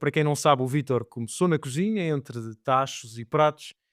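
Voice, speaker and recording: A European Portuguese accent at a moderate pace with ordinary pitch variation, dry and close with no echo, in a very clean recording with a silent background. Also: man. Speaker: wine podcast host. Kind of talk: podcast intro.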